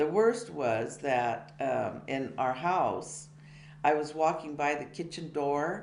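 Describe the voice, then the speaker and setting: With an American accent, a woman speaks at a very deep, low pitch and a very slow pace. Noticeable background noise and audible room echo fill the recording. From California, USA (Tracy area). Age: 70s. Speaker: biography interviewee. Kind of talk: life-story interview. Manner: halting, many fillers.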